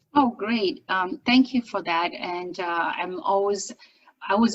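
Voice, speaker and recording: Her intonation is lively and her pitch sits at a medium level. The woman speaks at a fairly slow pace. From China. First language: Chinese. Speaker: business owner and accent coach. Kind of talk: interview. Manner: articulate, trained broadcaster delivery.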